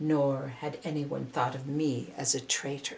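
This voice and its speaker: This put-on character voice growls softly at a low-to-middle pitch and a fairly slow pace. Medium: read story. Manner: quiet, soft.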